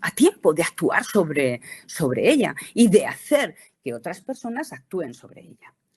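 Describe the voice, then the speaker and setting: A woman speaks at a moderate pace with vocal fry. Her pitch swings very widely. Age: 60s. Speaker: cosmetics company educator. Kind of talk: presentation lecture. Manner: halting, many fillers.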